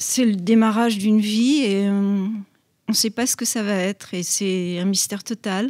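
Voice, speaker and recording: On a very clean recording with a silent background, a woman speaks at a fairly slow pace and medium pitch. Her tone is dark and mellow, and her intonation stays fairly even. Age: 80s+. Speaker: grandmother interviewed by pupils. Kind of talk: interview.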